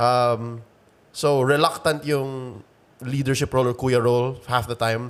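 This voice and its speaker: A man talks at a moderate pace. He speaks with a Filipino accent. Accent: Filipino English, code-switching with Tagalog. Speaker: esports caster. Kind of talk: casual interview. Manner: halting, many fillers.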